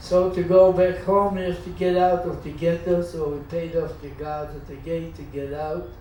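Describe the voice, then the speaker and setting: Over noticeable background noise, a man with a high pitch speaks at a moderate pace in a flat monotone, his loudness swinging widely. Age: 80s+. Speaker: Holocaust survivor. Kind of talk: life story talk to audience.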